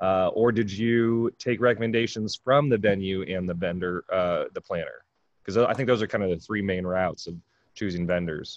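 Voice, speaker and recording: A man with an unremarkable speaking voice, fairly low in pitch with ordinary variation, at a moderate pace, in a dry, close sound with no echo. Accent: American. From California. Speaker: podcast host, mobile bar owner. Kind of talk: casual chat.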